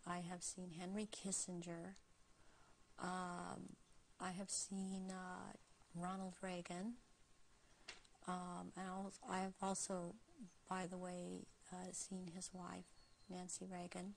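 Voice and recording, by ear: A woman speaks slowly at a fairly low pitch with vocal fry. Her intonation is monotone and flat, with long, frequent pauses.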